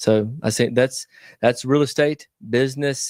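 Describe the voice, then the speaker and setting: In a Southern US accent, a man talks at a moderate pace in a flat monotone, the sound dry and close with no echo on a very clean recording with a silent background. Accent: Southern American. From US South. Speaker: real estate investor. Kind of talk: interview. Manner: halting.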